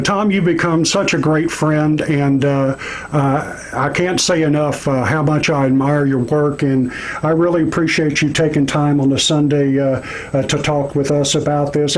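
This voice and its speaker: A man with an American accent talks at a moderate pace, his fairly high voice flat and monotone. Noticeable background noise and audible room echo fill the recording. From Texas. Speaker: radio show host. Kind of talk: political commentary show.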